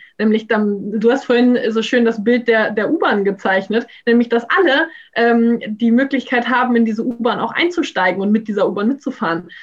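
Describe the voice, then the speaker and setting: An ordinary speaking voice, a woman's, comes at a moderate pace and fairly high pitch with ordinary pitch variation and very even loudness. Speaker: graduate student. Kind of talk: casual discussion. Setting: video call.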